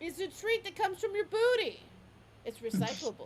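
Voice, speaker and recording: Shouting in a put-on character voice, extremely high in pitch, at a fairly quick pace. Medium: actual play. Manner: excited, yelling.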